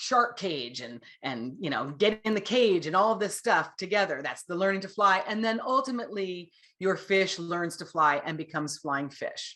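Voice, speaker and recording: Over a quiet background, a woman speaks in an animated, bright and sharp tone with lively intonation. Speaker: author and writing instructor. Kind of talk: lecture.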